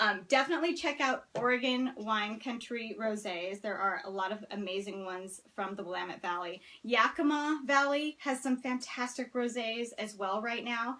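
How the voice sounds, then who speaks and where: In a plain, everyday voice, a woman speaks at a moderate pace with hardly any pauses, her pitch fairly high with ordinary pitch variation. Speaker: wine blogger. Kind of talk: live stream talk. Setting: Facebook Live video, seated.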